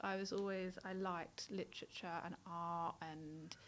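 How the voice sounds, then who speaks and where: A woman's bright, sharp tone with a London accent. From South London. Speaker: nurse. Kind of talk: interview testimony.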